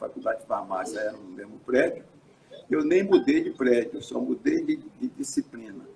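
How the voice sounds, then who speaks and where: Fairly quick male speech with noticeable background noise. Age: 80s+. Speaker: physician and researcher. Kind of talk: interview on live stream. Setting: live stream broadcast. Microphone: some echo.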